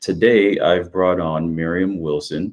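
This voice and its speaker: A very deep, low-pitched man at a fairly slow pace, with fairly even intonation against a quiet background. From Jamaica. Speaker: realtor and podcast host. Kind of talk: interview.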